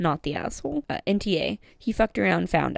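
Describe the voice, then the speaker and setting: A fairly low-pitched woman's voice with vocal fry and lively intonation, fairly quick, in a dry, close sound with no echo. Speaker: Reddit story reader. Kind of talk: read-aloud Reddit story. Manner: casual, friendly.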